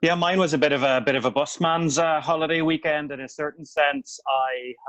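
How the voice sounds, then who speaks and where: Speaking in a Northern Irish accent, a man talks at a fairly quick pace with a fairly high pitch and fairly even intonation. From Northern Ireland, County Tyrone (Omagh). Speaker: newspaper editor and author. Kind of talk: podcast interview. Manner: hesitant, many fillers and repeats.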